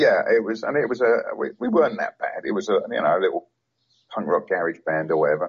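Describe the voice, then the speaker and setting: This man talks at a very fast pace with a London accent. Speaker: punk photographer, author and vocalist. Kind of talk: interview. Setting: phone or remote call.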